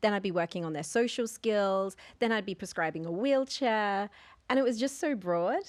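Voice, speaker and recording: A woman with an Australian accent and a medium pitch over a quiet background. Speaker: occupational therapist and consultant. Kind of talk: podcast interview.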